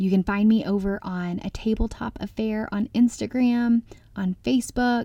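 Somewhat breathy and dark, mellow in tone, a woman speaks at a fairly high pitch with an American accent. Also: moderate pace. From US South, Arkansas. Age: 30s. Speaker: food blogger and speaker. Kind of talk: conference talk. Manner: animated, passionate.

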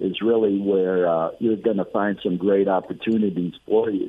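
A man with a plain, everyday voice speaks at a fairly low pitch and a moderate pace, with ordinary pitch variation. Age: 60s. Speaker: real estate investor and mentor. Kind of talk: radio interview.

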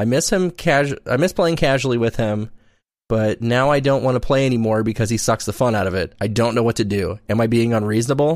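At a very fast pace, a man with medium pitch and ordinary pitch variation keeps his loudness very even on a very clean recording with a silent background. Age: late 20s. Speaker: podcast co-host. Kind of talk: casual chat.

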